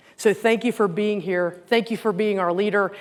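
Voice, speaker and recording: A woman talks at a very fast pace in a Southern US accent. Her pitch sits in the medium range. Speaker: company president and CEO giving keynote. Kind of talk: keynote speech. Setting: stage with audience. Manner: conversational, folksy.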